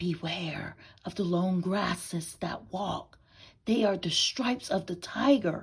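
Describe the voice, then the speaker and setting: Using a put-on character voice, a woman hisses her words at a fairly slow pace and a medium pitch. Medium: read story. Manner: hissing.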